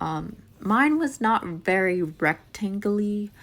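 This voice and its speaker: A woman's medium-pitched voice is captured in a very clean recording against a silent background. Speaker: cooking channel host. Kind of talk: tutorial voice-over. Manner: casual, filler-heavy.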